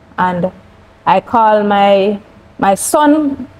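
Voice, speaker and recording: A woman talks with a Jamaican accent. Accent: Jamaican English with patois. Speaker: cancer survivor; interview guest. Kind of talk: testimony. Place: studio.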